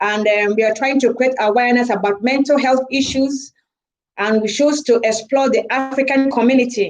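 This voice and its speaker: A woman with a Nigerian accent speaks at a high pitch and a moderate pace. Her loudness is very even and her intonation fairly even. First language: Igbo. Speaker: charity organiser, live-stream host. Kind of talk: live stream talk. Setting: live video stream.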